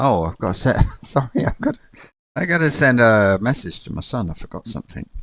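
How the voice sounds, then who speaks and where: Fairly quick male speech at a medium pitch, with very wide pitch swings and big swings in loudness. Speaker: gaming streamer. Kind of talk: live gameplay commentary. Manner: subdued, unenthusiastic.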